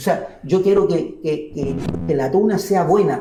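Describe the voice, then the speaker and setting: With music in the background and audible room echo, a man speaks at a high pitch in a Chilean accent. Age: 60s. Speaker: university minstrel musician and auditor. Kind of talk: interview.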